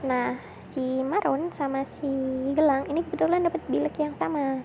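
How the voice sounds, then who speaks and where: Over noticeable background noise, a woman with a high pitch talks at a moderate pace with fairly even intonation. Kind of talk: casual storytelling to a partner about school days. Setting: recorded near a road with traffic noise. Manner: soft, intimate.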